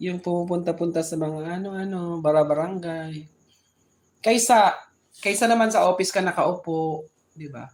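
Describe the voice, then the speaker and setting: A woman talks at a moderate pace in a fairly low voice. Her pitch varies in an ordinary way. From Philippines, Bicol (Sorsogon). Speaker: live streamer. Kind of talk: casual chat. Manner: halting, with frequent restarts.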